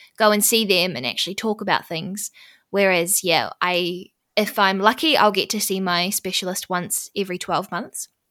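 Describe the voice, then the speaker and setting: With a New Zealand accent, a woman speaks at a medium pitch in a bright, sharp tone on a very clean recording with a silent background. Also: ordinary pitch variation, moderate pace. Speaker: podcast host and MS patient. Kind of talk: interview conversation.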